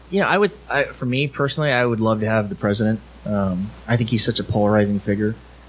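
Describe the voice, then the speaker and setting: A man with an American accent talks at a very fast pace, his pitch varying in an ordinary way. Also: medium pitch for a man. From Southern California (Alhambra). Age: 40s. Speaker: police officer. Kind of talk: live podcast interview. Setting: live event with audience.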